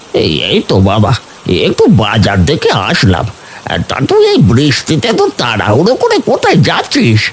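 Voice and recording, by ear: A man's cartoonish character voice at a moderate pace, with clear background noise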